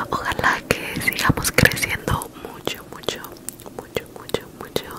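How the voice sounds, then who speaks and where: A soft-spoken woman's whispering. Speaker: ASMR creator. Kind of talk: casual vlog chat, soft ASMR outro. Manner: soft close-mic ASMR whisper. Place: home room. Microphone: handheld.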